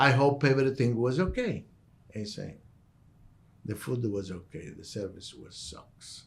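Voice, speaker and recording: The speaker is a man with a medium pitch. His voice is somewhat breathy, and his pace is fairly slow. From southern Italy, Calabria. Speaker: restaurant owner. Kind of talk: interview storytelling.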